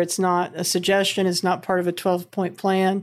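A woman with an American accent and a fairly low pitch, in a very clean recording with a silent background. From US Midwest. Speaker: podcast host. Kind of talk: casual interview conversation.

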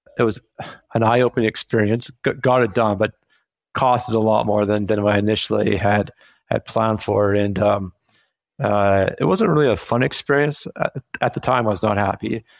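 On a very clean recording with a silent background, a man with a normal speaking voice talks at a moderate pace in a fairly low pitch, his intonation fairly even and his loudness very even. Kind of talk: casual interview chat.

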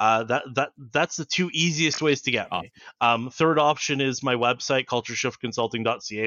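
With a Canadian accent, a man uses a normal speaking voice at a fairly quick pace, medium in pitch with ordinary pitch variation. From Canada, Toronto. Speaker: organizational psychologist. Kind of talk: interview.

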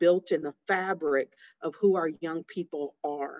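A woman speaks in an unremarkable speaking voice, fairly low in pitch, at a fairly slow pace with fairly even intonation. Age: 40s. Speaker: inventor and business owner. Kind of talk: interview.

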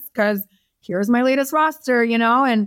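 An ordinary speaking voice moves at a fairly quick pace with ordinary pitch variation. The sound is dry and close, with no echo. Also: woman. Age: 40s. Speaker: talent manager. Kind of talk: casual chat.

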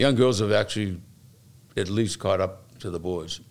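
This man has a Boston accent. His pitch is fairly low. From Boston, Massachusetts (South Boston). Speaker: fire lieutenant and recovery advocate. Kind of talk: interview.

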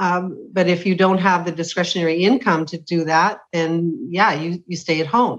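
A woman has an ordinary speaking voice, fairly low in pitch with ordinary pitch variation. She keeps a moderate pace with hardly any pauses. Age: 60s. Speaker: retired teacher. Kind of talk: casual chat.

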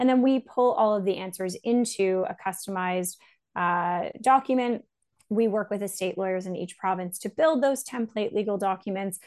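Against a quiet background, a woman with a Canadian accent talks in an unremarkable speaking voice at a moderate pace. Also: medium pitch for a woman, ordinary pitch variation. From Canada. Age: 30s. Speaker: startup founder and CEO. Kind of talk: interview.

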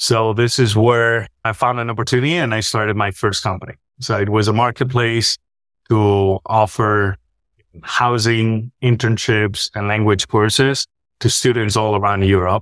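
Someone with a Spanish accent speaks at a moderate pace with fairly even intonation. The recording is very clean, with a silent background and a dry, close sound with no echo. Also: man, medium pitch for a man. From Spain. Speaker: health tech executive. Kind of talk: interview. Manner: talkative.

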